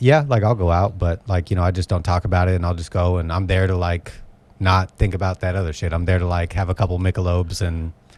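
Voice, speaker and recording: At a very fast pace, a man with very deep, low pitch talks in fairly even intonation. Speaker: comedian. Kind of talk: casual chat. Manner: monotone.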